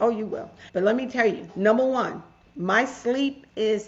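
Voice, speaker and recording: Animated in tone, a woman speaks at a fairly high pitch amid noticeable background noise and audible room echo. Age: 60s. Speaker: author and mental health advocate. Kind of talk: interview storytelling.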